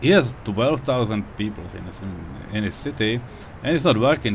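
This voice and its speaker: Moderately paced speech in a non-native accent shows ordinary pitch variation over noticeable background noise. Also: man. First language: not English. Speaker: video game player. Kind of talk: casual gameplay commentary. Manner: unscripted, hesitant.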